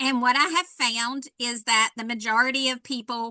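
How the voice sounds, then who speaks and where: A woman's fairly high, bright, sharp voice in a North Carolina accent, with fairly even intonation. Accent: Southern US (North Carolina). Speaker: fire safety educator. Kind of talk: workshop presentation. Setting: virtual workshop.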